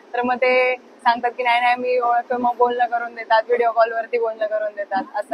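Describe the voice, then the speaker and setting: A woman with a high-pitched voice talks over crowd noise in the background. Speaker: college student and bhajan singer. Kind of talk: interview answer.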